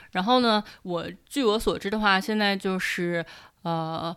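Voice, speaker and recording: In a very clean recording with a silent background, a woman with an ordinary speaking voice speaks at a medium pitch and a moderate pace with ordinary pitch variation. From Shanxi, Taiyuan. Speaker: internet company employee. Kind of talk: casual interview.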